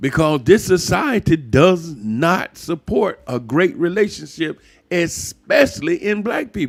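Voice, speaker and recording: On a very clean recording with a silent background, a man speaks fairly slowly in a high pitch, with an animated tone and very wide pitch swings. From US South, Atlanta, Georgia. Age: 60s. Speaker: YouTuber, relationship commentator. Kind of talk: monologue rant.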